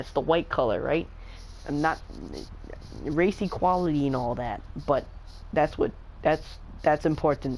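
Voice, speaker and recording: The speech comes at a moderate pace. The words are mumbled. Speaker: gaming tutorial maker. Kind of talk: casual gameplay tutorial commentary. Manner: mumbling, hesitant with many fillers.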